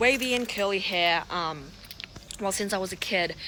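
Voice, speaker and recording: The pace is moderate, with ordinary pitch variation. Noticeable background noise is present. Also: woman. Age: 30s. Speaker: lifestyle vlogger. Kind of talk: casual vlog monologue. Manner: loud; hesitant with frequent fillers.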